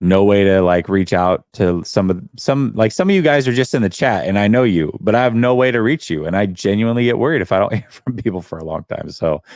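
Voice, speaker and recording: A man with an American accent and a normal speaking voice, fairly low in pitch, at a fairly quick pace with hardly any pauses and lively intonation. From US Pacific Northwest. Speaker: call-in show host. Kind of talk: live call-in stream.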